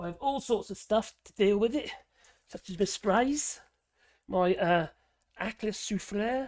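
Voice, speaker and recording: A man with a strong Norfolk accent speaks at a high pitch and a fairly slow pace, leaving long, frequent pauses. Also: ordinary pitch variation. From Norfolk, eastern England. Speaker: political commentary livestreamer. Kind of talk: livestream chat reading viewer comments. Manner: halting, many fillers and restarts; casual, profane.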